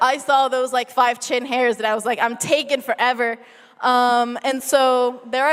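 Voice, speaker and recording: In a Spanish accent, a woman speaks with a high pitch. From Argentina. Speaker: researcher. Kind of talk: science slam talk. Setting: stage with audience. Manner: casual, many fillers.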